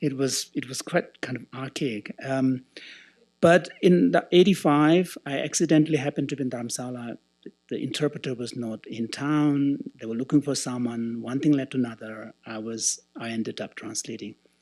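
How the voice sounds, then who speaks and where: A man speaks at a moderate pace and medium pitch with ordinary pitch variation. His loudness swings widely. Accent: Tibetan. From Tibetan, raised in India. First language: Tibetan. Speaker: translator and Buddhist scholar. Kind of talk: conference closing speech with personal story. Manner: halting, with many fillers.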